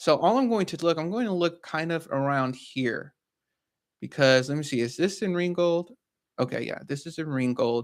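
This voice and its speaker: A man with a plain, everyday voice, fairly high in pitch, lively intonation at a moderate pace, in a very clean recording with a silent background. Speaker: real estate investor and educator. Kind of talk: tutorial.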